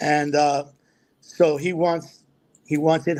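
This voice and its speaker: A man speaks with an American accent at a fairly high pitch. His intonation is monotone and flat. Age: 70s. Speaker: actor. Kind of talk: casual chat.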